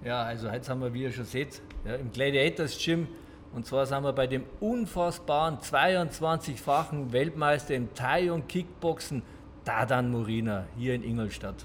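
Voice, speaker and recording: With audible room echo, a man speaks at a fairly slow pace and medium pitch, sounding somewhat breathy, with ordinary pitch variation. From Munich, Bavaria. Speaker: podcast host. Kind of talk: casual interview. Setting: boxing gym.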